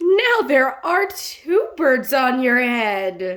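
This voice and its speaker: A woman puts on a character voice, pitched high, talking very slowly with very wide swings in pitch. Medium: read story.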